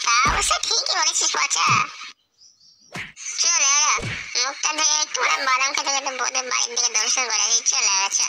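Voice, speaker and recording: A woman's cartoonish character voice at a moderate pace. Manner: slurring, crude.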